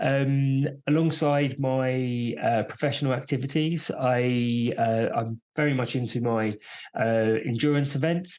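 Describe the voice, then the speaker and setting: A man speaks with a British accent at a medium pitch. His loudness stays very even and his intonation fairly even. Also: fairly slow pace. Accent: British, noticeable to US listeners. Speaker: entrepreneur and endurance athlete. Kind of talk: podcast interview. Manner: hesitant, many fillers.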